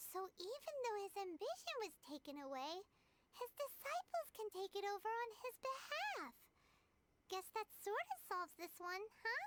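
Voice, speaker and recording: This is a put-on character voice, squeaky and extremely high in pitch. It proceeds at a moderate pace. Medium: video game.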